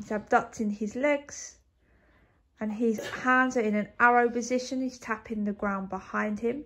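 A woman is speaking. Her pace is fairly slow. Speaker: fitness coach. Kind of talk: exercise coaching commentary. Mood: upbeat, laughing. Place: home room. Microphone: phone near.

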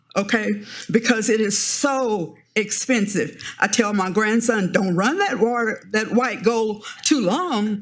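A woman with an American accent speaks at a very slow pace in a fairly high pitch, her intonation lively, with audible room echo in the recording. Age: 70s. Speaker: member of the public giving public comment. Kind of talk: public comment at city council meeting. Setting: city council chamber.

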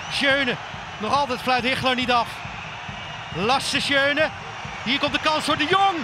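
Pitched extremely high, a man uses a raised, projected voice at very even loudness and a fairly slow pace, with ordinary pitch variation, long, frequent pauses and noticeable background noise. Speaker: football commentator. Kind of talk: live sports commentary on match highlights. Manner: animated, excitable.

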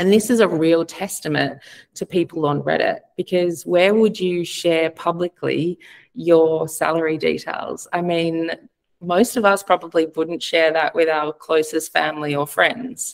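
In an ordinary speaking voice, a woman talks at a fairly slow pace with fairly low pitch and ordinary pitch variation against a quiet background. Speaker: advertising platform representative. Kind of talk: webinar presentation. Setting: video call. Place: home room.

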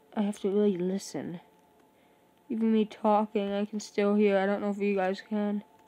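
Quiet and dark, mellow in tone, a woman speaks with monotone, flat intonation. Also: medium pitch for a woman, moderate pace. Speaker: gaming video creator. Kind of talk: gameplay commentary. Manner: quiet, holding voice down; halting, many fillers.

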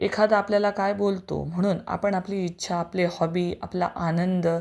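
On a very clean recording with a silent background, a woman talks in an unremarkable speaking voice, fairly low in pitch with fairly even intonation. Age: 40s. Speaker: teacher and vlogger. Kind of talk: personal story monologue.

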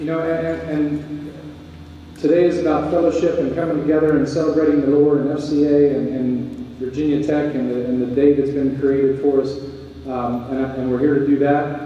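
A man's monotone, flat delivery with strong room echo and light background noise. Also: moderate pace. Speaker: university athletic director. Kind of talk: welcome speech. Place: hall.

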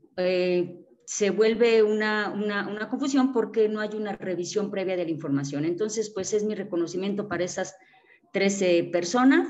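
Heard with audible room echo, a woman speaks at a medium pitch and a moderate pace with ordinary pitch variation. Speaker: seminar participant, teacher. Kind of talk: discussion contribution. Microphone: choppy internet connection.

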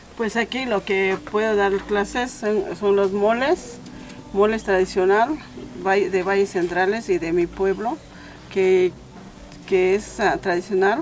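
Faint music plays in the background as the speech moves at a very slow pace, with long, frequent pauses and fairly even intonation. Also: woman, medium pitch for a woman, very even loudness. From rural Oaxaca, Mexico. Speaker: traditional cook. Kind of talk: cooking demonstration. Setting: home kitchen. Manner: halting. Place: kitchen. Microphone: camera far.

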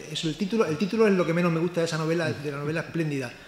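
Light background noise is present. The room echo is audible. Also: man. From Spain, outside Seville; Spain. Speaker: cultural journalist. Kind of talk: book launch presentation. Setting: live event with audience. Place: hall. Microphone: microphone volume issues at start; podium.

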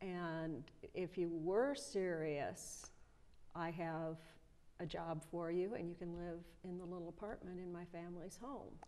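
A woman with a US Midwestern accent talks at a fairly slow pace in a fairly low, dark, mellow voice. Her pitch variation is ordinary. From Nebraska (rural, near Omaha); Nebraska. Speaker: retired high school German teacher; interview guest. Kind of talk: interview, casual chat. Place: studio. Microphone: lapel.

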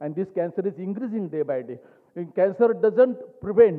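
A man talks at a fairly quick pace in a high voice with a Marathi accent. The background is quiet. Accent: Indian English, Marathi. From India, rural Maharashtra (Ahmednagar); Maharashtra, India. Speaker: cancer surgeon. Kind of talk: award speech. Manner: halting; passionate. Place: hall. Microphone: podium.

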